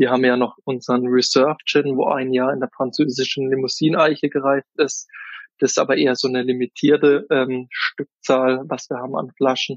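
Flat and monotone, this man's delivery never lifts. He talks at an even speed, his pitch in the middle range. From Kaiserstuhl, Baden, southwest Germany. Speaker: gin distiller and wine sales worker. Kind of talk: interview.

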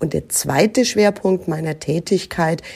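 A woman with a very deep, low pitch and a dark, mellow tone speaks with ordinary pitch variation. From Germany, Nuremberg (Franconia). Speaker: recruiting manager. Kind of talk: interview.

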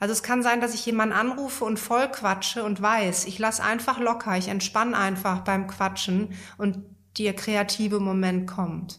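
Her pace is moderate as a woman talks in a normal speaking voice at medium pitch with fairly even intonation. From Germany, Münsterland. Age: 40s. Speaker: yoga teacher and couples therapist. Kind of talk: personal interview. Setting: in person at her place in Berlin.

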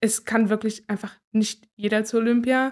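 Flat, monotone intonation comes through on a very clean recording with a silent background. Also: woman. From Thuringia, Gera. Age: 20s. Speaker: speed skater. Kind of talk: interview.

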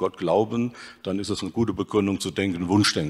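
At a fairly quick pace and with fairly even intonation, this is a plain, everyday voice. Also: man. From Hesse, Germany (Dillenburg). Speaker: ancient historian. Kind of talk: panel discussion.

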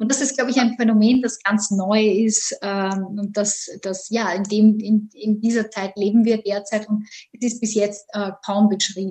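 A woman with an Austrian accent speaks at a fairly slow pace, fairly high in pitch, monotone and flat, somewhat breathy, with a dark, mellow tone. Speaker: economics lecturer. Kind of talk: interview. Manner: hesitant, many fillers.

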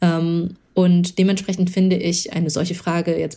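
This woman has a fairly low pitch and a dark, mellow tone. Vocal fry runs through her voice. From Germany, Lower Rhine (Moers); born in China. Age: 30s. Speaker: startup founder and angel investor. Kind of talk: interview. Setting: studio.

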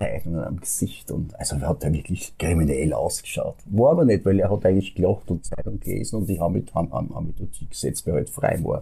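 Hardly any pauses break a man's fairly quick speech. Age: 60s. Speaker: fairy tale storyteller. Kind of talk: interview. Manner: halting.

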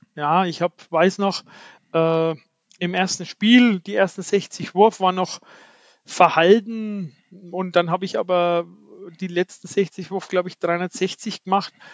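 The background is quiet and the sound dry and close, with no echo. A man speaks at a high pitch with fairly even intonation. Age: 50s. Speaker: ninepin bowler and national team coach. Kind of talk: interview.

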